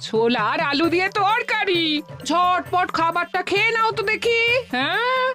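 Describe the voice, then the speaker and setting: A cartoonish character voice moves at a moderate pace while clear music plays in the background. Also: female-sounding voice, extremely high pitch for a woman. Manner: brisk, scolding.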